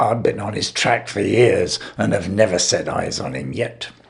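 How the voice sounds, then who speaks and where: Raspy put-on character voice from a man, fairly low in pitch, at a moderate pace. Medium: read story. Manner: lofty, consequential.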